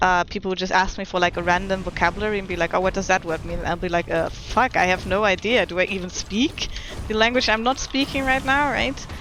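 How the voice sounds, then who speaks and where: Over noticeable background noise, a woman with a German accent talks at a very fast pace. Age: 20s. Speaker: video game streamer. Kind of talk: casual chat. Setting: live stream.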